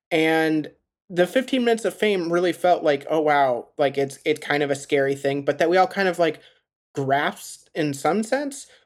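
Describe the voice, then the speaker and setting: With an American accent, a man with an ordinary speaking voice talks at a moderate pace and a fairly high pitch, with lively intonation and very even loudness, in a very clean recording with a silent background. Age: 30s. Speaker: podcast host. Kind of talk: interview.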